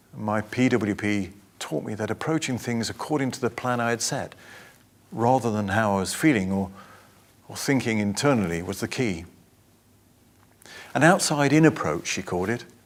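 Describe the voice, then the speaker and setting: Pausing long and often, a man with an English accent talks at a moderate pace and medium pitch, with lively intonation. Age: 60s. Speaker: patient sharing recovery story. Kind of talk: testimony.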